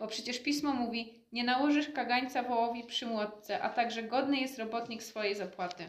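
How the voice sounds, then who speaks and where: A woman's fairly high voice at a fairly quick pace, with hardly any pauses, ordinary pitch variation, and noticeable background noise. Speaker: interpreter. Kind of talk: interpreting.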